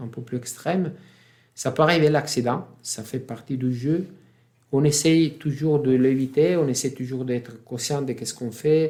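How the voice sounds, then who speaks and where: With an Italian accent, a man speaks at medium pitch in a dark, mellow tone with ordinary pitch variation. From Italy. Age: 50s. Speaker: freediving champion. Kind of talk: interview answer. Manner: calm, composed.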